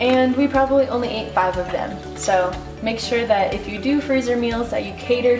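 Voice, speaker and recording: A woman speaks at a moderate pace. Music plays clearly in the background. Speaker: home cook vlogger. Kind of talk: cooking tutorial chat. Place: kitchen. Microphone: camera far.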